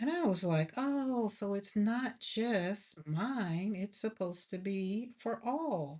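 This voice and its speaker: Somewhat breathy and at a medium pitch, a woman speaks at a very slow pace with very wide pitch swings. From Alabama, US South. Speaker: artist and grief livestreamer. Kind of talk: casual livestream chat while painting. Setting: home art studio livestream. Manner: animated.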